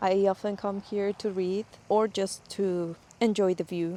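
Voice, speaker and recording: Speaking very slowly in a Spanish accent, a woman holds a medium pitch in a monotone, flat intonation. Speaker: book vlogger. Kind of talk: casual vlog talk. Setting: outdoors.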